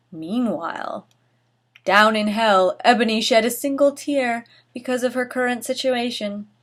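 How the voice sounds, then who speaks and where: Ordinary pitch variation at a fairly slow pace. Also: woman, high pitch for a woman. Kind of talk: dramatic reading of fanfiction, comedic, casual talk to camera. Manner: expressive, ironic, mocking.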